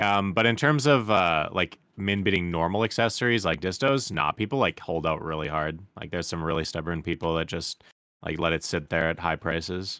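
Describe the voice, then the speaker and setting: In a Canadian accent, a bright, sharp voice moves at a fairly quick pace with hardly any pauses and ordinary pitch variation, on a very clean recording with a silent background. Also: man, very deep, low pitch for a man. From Canada. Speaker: gamer. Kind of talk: casual chat.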